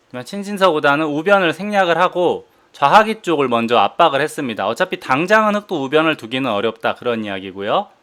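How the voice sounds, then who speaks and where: This very clean recording, with a silent background, features a man with a fairly high, bright, sharp voice. He talks at a fairly quick pace, his pitch swinging very widely. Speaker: professional go player and commentator. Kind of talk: game commentary.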